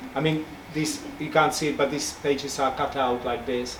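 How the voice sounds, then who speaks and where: A fairly high-pitched man talks in a room with audible echo, noticeable background noise behind him. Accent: Czech. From Czech Republic. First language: Czech. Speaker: picture book illustrator. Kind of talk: talk to audience. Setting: bookshop event with audience.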